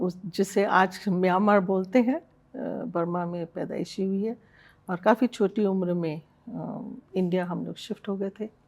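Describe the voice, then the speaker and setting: An ordinary speaking voice. Its pitch varies in an ordinary way. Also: woman, medium pitch for a woman. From Jaipur, Rajasthan, India (born in Burma). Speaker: hospital managing director. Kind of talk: interview.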